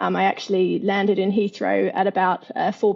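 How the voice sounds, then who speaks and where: A woman with an Australian accent talks fairly quickly at a medium pitch, with vocal fry in her voice. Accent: Australian, clearly audible. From Australia, Perth. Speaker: fintech entrepreneur. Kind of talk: interview. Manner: hesitant, many fillers.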